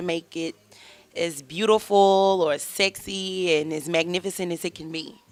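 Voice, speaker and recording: Speaking in a Southern US accent, a woman uses a medium pitch and ordinary pitch variation. The recording is very clean with a silent background. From Mississippi. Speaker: chef. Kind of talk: casual interview.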